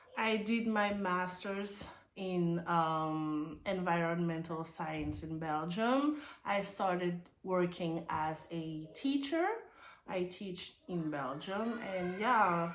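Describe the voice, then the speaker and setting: Very slow speech from a woman with a fairly low pitch, set in audible room echo. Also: ordinary pitch variation. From Burkina Faso. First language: French. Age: 30s. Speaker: immigrant nurse. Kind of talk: casual interview. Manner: halting.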